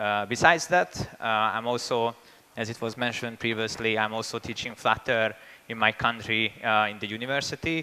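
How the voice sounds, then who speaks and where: A man with a Hungarian accent talks at a moderate pace and medium pitch. His tone is bright and sharp, his intonation fairly even. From Hungary. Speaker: software engineer and conference speaker. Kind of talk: conference talk. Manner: hesitant, many fillers.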